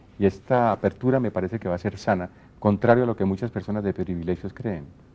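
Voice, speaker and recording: With a Colombian accent, a man talks at a very fast pace in a dark, mellow tone, his fairly low pitch showing ordinary variation. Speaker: radio announcer and TV presenter. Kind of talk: interview answer.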